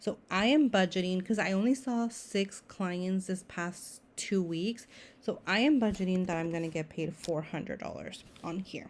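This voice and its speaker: At a moderate pace, the speaker uses a normal speaking voice with ordinary pitch variation and hardly any pauses. The recording is very clean, with a silent background. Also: woman, medium pitch for a woman. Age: 30s. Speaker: therapist and budgeting vlogger. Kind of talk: tutorial. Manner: casual, with fillers and restarts.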